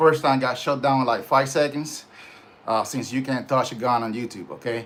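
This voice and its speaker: Here a man speaks with a slight Puerto Rican accent. His pace is moderate and his pitch variation ordinary. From Puerto Rico. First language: Spanish. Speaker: gun channel host. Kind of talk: casual livestream talk. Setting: home livestream. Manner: halting, many fillers.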